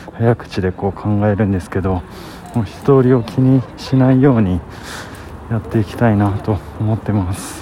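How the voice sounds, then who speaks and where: The voice is soft-spoken, with ordinary pitch variation at a fairly slow pace. Noticeable background noise can be heard. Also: man. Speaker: vlogger. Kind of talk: casual monologue.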